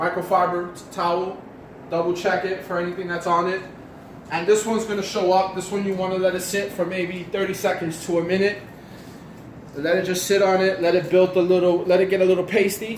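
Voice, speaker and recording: A man speaks at a fairly quick pace in a high pitch, his intonation monotone and flat. Light background noise and audible room echo are present. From New York City. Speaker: car detailing hobbyist; car detailing vlogger. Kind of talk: casual how-to talk to camera. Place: garage. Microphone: camera far.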